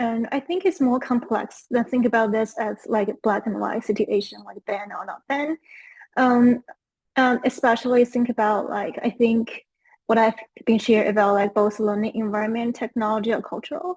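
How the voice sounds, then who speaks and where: With a Chinese accent, a woman speaks at a moderate pace and fairly high pitch, with ordinary pitch variation and a dry, close sound with no echo. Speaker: education researcher. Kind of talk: panel discussion.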